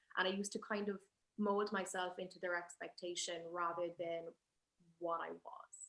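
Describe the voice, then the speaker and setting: A woman with an Irish accent speaks at a medium pitch. Her tone is bright and sharp, and her intonation stays fairly even. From Ireland. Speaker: spoken word poet. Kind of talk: panel conversation. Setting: live event at a museum.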